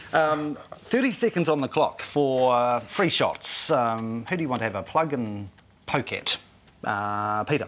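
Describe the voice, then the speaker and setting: A fairly slow delivery in a New Zealand accent with lively intonation. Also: man, medium pitch for a man. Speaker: TV show host. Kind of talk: TV panel discussion, host moderating. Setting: studio. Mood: jokey, light-hearted. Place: studio. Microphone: lapel.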